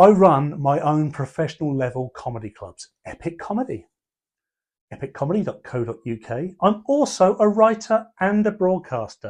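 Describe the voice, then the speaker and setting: With a southern English accent, a man speaks at a high pitch, his voice making very wide pitch swings and big swings in loudness. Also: moderate pace. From southern England (Portsmouth area). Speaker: comedian and columnist. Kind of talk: reading aloud of his own column.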